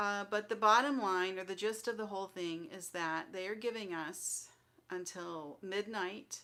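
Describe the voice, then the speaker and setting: A soft-spoken woman talks at a fairly slow pace and medium pitch. Her tone is bright and sharp, with ordinary pitch variation. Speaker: crafting channel host. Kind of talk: live stream update. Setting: livestream at home computer.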